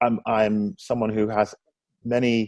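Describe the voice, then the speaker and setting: With music in the background, a man speaks at a fairly low pitch in a dry, close sound with no echo. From London, England. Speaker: coworking space founder. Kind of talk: interview. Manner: hesitant, many fillers.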